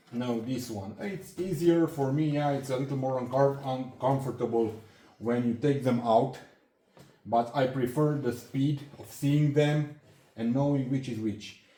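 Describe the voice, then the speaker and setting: Speaking at a fairly slow pace with a non-native accent, a man has a dark, mellow, somewhat breathy tone, fairly even intonation, and audible room echo. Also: medium pitch for a man. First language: not English. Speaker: hobbyist handyman YouTuber. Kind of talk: tool show-and-tell tutorial. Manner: halting, many fillers and restarts.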